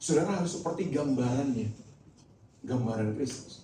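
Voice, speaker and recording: Somewhat breathy, with a dark, mellow tone and a fairly high pitch, this man uses lively intonation. He talks at a moderate pace amid audible room echo. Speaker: pastor. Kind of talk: sermon. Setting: church.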